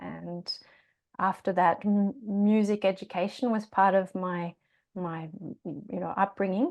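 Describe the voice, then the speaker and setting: Over a quiet background, a woman with a slight Australian accent speaks at a medium pitch, leaving long, frequent pauses. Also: ordinary pitch variation, fairly slow pace. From Australia, Tasmania. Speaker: yoga teacher and singer. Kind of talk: podcast interview. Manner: hesitant, many fillers.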